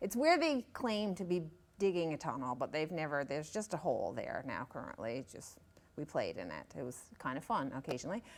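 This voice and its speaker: A woman with a Newfoundland accent talks at a fairly quick pace and fairly low pitch, with very wide pitch swings, on a very clean recording with a silent background. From Newfoundland, Northern Peninsula (Savage Cove, Straits area). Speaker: author. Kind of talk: interview. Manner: halting, many fillers.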